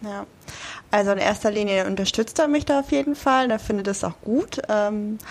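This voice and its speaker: A woman speaks at a moderate pace in an ordinary speaking voice. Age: 30s. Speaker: amateur bodybuilder. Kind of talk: interview.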